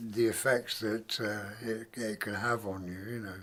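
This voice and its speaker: A man speaks with an English accent. His intonation is monotone and flat. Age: 70s. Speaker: retired DJ. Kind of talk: interview monologue. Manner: halting, many fillers.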